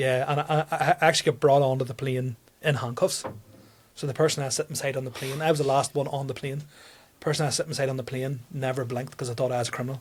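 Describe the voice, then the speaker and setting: Talking at a very fast pace, a man with a strong Tyrone accent has a somewhat breathy voice, a medium pitch and a monotone, flat intonation. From Northern Ireland, County Tyrone. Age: 30s. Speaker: comedian. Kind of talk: casual chat. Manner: halting.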